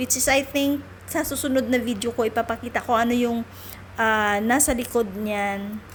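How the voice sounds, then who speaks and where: Woman's fairly high-pitched, ordinary speaking voice at a moderate pace, with very even loudness, fairly even intonation and light background noise. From Philippines. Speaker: vlogger and domestic helper in Hong Kong; vlogger. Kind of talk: casual travel vlog. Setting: outdoors on a trip. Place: street. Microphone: phone near.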